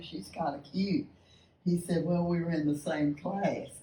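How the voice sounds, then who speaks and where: In a Texan accent, a woman speaks with a very deep, low pitch. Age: 80s+. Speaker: retired basketball coach, speaker. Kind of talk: speech to a lunch meeting. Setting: luncheon with audience.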